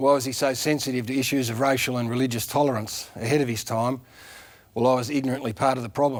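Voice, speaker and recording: A man with an Australian accent speaks at a very fast pace. The recording is very clean, with a silent background. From country Victoria, Australia. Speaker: former footballer, TV presenter. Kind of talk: eulogy tribute on TV.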